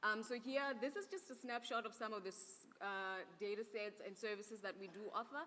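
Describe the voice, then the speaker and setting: A woman's fairly high, bright, sharp voice with ordinary pitch variation and hardly any pauses. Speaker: conference speaker presenting an Earth observation program. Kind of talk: conference presentation. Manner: fast.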